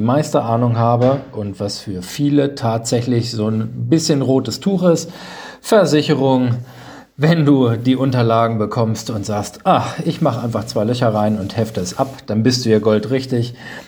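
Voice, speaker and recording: Over noticeable background noise, a man speaks at a moderate pace, his pitch medium with ordinary variation. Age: 30s. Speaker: insurance agent and podcast host. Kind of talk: podcast monologue. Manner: animated.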